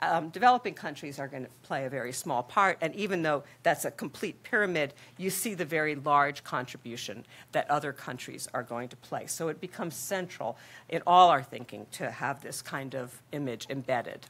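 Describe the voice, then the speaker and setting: A woman with a very deep, low pitch, lively intonation and a moderate pace. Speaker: population health researcher, academic director. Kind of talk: conference presentation. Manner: frequent filler ums. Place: hall.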